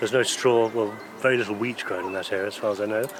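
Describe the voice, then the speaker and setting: Noticeable background noise sits behind a man talking at a fairly quick pace. His medium-pitched delivery is monotone and flat. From northern England, Scarborough, Yorkshire. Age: 60s. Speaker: thatcher. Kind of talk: interview.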